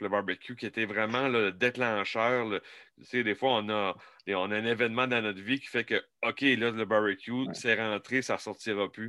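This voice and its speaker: A man with a Quebec accent speaks at a moderate pace and medium pitch, his bright, sharp tone carrying fairly even intonation in a very clean recording with a silent background and a dry, close sound with no echo. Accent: Québécois French. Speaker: barbecue podcast host. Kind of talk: casual interview.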